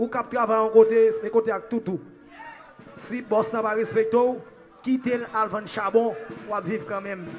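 Delivered at a moderate pace with fairly even intonation, the speech has faint music in the background. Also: man. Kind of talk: stage speech to crowd. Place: stage.

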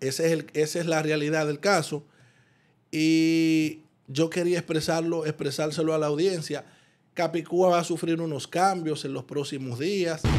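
A man speaks in a monotone, with flat intonation. His pace is fairly slow. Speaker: radio show host. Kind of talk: commentary. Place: studio. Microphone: studio mic.

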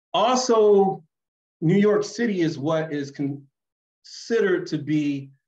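Against a quiet background, a man speaks with an American accent. His pace is fairly slow and his intonation lively. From Philadelphia, US. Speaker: geography professor. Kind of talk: lecture. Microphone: webcam.

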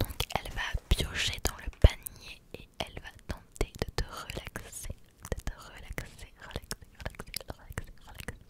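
The voice is soft-spoken and whispering. It moves at a fairly slow pace. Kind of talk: soft ASMR talk. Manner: soft close-mic ASMR whisper, drawn-out repetitions. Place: home room. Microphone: studio mic.

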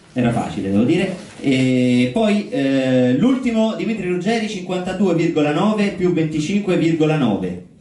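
In a room with strong echo, a man with a fairly high pitch and a dark, mellow tone talks with big pitch swings and few pauses. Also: moderate pace.

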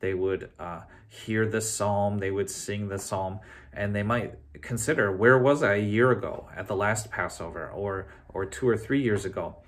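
This man has a fairly low pitch with ordinary pitch variation. He keeps a moderate pace. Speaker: pastor. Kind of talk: sermon. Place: office. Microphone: phone near.

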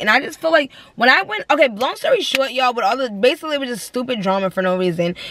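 This woman speaks high for a woman, and the sound is dry with no echo. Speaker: vlogger. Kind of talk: casual vlog chat. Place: car. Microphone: phone near.

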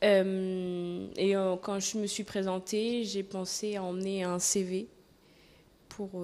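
Speaking at a very slow pace with long, frequent pauses, a woman keeps a monotone, flat intonation and a dark, mellow tone. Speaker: seasonal cleaning worker. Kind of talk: interview. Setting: at a campsite. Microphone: handheld.

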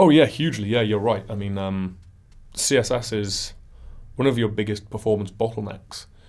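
A man with a northern English accent talks at a moderate pace with ordinary pitch variation over a quiet background. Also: fairly low pitch for a man. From northern England. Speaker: web performance consultant; interview guest. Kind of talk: interview. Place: studio. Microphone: studio mic.

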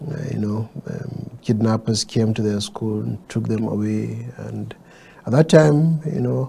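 Fairly slow speech comes from a man. Light background noise can be heard. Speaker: candidate. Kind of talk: interview answer. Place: studio.

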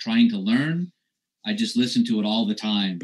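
With very wide pitch swings and a fairly slow pace, a man talks over quiet surroundings. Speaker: war veteran; interview guest. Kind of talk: testimony. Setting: video call. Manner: halting. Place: home room. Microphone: webcam.

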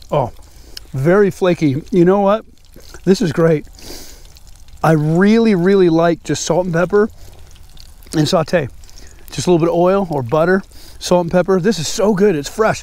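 This man has a high pitch and ordinary pitch variation, keeps a moderate pace with long, frequent pauses, and sounds dry with no echo. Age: 50s. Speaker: fishing YouTuber. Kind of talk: casual vlog narration. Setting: outdoors. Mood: relaxed, pleased. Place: waterside.

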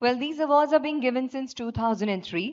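With an Indian accent, a woman speaks at a fairly quick pace with ordinary pitch variation against a quiet background. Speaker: event anchor, master of ceremonies. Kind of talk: live government conference hosting. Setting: PA system, live event hall. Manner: enthusiastic, upbeat. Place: hall. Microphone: podium.

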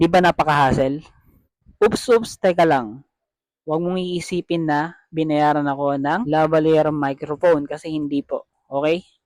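Dry and close with no echo, a man's fairly high voice moves at a fairly slow pace with fairly even intonation. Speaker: vlogger. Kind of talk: product review. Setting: at home, later outdoors at night. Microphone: cheap wireless lavalier mic, compared with no mic.

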